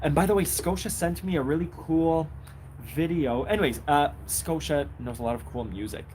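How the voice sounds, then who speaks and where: Audible room echo surrounds this recording. In it, a man keeps a moderate pace. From Israel. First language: Hebrew. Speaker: accordion teacher and musician. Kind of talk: live stream chat. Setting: outdoors on a bench in the rain. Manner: casual, hesitant with many fillers.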